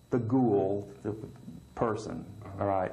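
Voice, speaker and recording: A man's somewhat breathy, dark, mellow voice at a very slow pace. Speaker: prison inmate. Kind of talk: interview answer.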